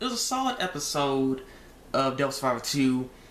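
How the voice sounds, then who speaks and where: With very wide pitch swings, a man's voice carries audible room echo. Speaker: anime reviewer vlogger. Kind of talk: casual review talk. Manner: halting, many repetitions.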